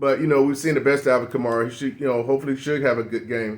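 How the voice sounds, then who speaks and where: At a very fast pace, a man speaks in a medium-pitched voice. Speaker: fantasy football youtuber. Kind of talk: casual solo commentary. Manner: animated, halting repetitions.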